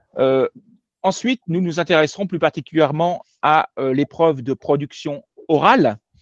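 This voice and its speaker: This man's voice sits fairly high, and his intonation is lively. He keeps a moderate pace, and the sound is dry and close with no echo. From France. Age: 50s. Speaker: French language teacher. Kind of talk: online lecture. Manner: hesitant, many filler sounds.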